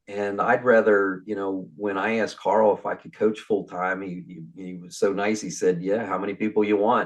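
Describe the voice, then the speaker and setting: A man with an unremarkable speaking voice talks at a moderate pace and a fairly low pitch against a quiet background. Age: 60s. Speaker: mortgage business coach. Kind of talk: casual interview chat.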